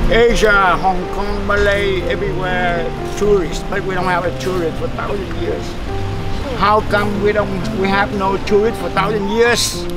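A man talks at a fairly slow pace with clear music in the background. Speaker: tour guide. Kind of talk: tour guide commentary. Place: street. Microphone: camera far.

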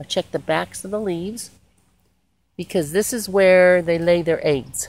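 With fairly low pitch and fairly even intonation, a woman speaks in a dry sound with no echo. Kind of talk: casual garden tutorial vlog. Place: garden. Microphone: phone near.

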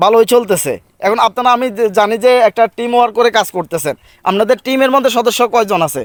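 An extremely high-pitched male voice, dry and close with no echo. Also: ordinary pitch variation. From Bangladesh, Feni (Parshuram). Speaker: YouTuber interviewing local content creators. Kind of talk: casual interview.

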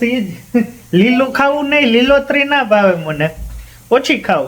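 A man speaks with lively intonation. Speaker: family vlogger. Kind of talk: casual family vlog chat.

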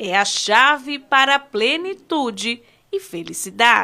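A woman speaks in a raised, projected voice with a high pitch. Her pitch swings very widely. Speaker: TV reporter. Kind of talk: TV news report narration.

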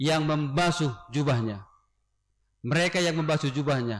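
The pace is moderate. The intonation is lively. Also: man, quiet background. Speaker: pastor. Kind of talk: sermon. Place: church. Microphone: podium.

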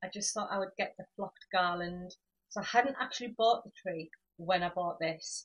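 A woman talks with fairly even intonation in a somewhat breathy voice. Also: quiet background. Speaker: home decor vlogger. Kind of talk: casual haul vlog chat. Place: home room. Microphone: camera far.

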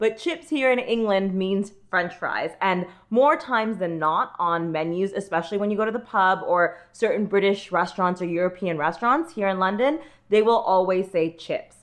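A woman speaks at a moderate pace with a medium pitch. Her intonation is lively, and the background is quiet. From United States. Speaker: vlogger. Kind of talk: casual talk to camera.

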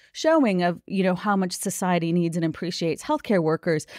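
This woman has an ordinary speaking voice with an American accent, medium pitch and ordinary pitch variation. The sound is dry and close with no echo, on a very clean recording with a silent background. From US Midwest, Minnesota. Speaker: labor union organizer. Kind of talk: interview.

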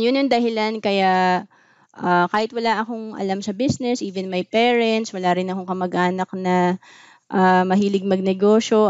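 A woman at medium pitch and moderate pace, fairly even intonation, dry sound with no echo, quiet background. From Philippines. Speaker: financial advisor and vlogger; vlogger. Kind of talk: talk on personal finance. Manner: casual conversational, frequent fillers. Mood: calm, explanatory. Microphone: webcam.

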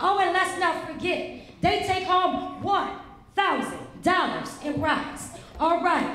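In a put-on character voice, a woman speaks slowly at an extremely high pitch with lively intonation and a fairly bright tone, all wrapped in strong room echo.

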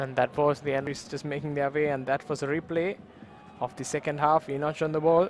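His pitch fairly high, a man speaks at a fairly quick pace with monotone, flat intonation. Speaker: football commentator. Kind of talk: live sports commentary over match highlights. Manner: fluent, brisk play-by-play; matter-of-fact, analytical.

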